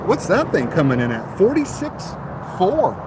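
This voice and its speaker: Noticeable background noise sits behind a man with an American accent whose pitch swings very widely. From mixed US, last lived in Texas. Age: 50s. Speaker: car salesman. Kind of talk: livestream chat. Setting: outdoors at car dealership. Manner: casual, chatty.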